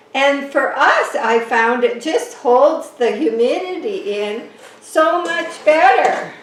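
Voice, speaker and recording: A woman speaks at a high pitch and very slow pace, with very wide pitch swings. The recording has audible room echo and noticeable background noise. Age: 70s. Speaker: orchid grower and gardening vlogger. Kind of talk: casual home video tutorial. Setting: at home, indoors. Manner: chatty, halting with repeated words.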